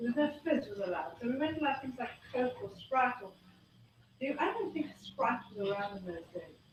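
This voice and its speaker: Her voice is high for a woman, with very wide pitch swings, at a fairly quick pace. Room echo is audible. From South Africa. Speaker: health speaker. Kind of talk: talk to a live audience. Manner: fast.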